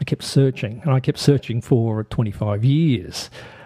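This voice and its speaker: Somewhat breathy and dark, mellow in tone, a man's medium-pitched voice with an Australian accent and ordinary pitch variation comes through dry and close with no echo. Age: 50s. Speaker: podcast host. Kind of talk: podcast monologue.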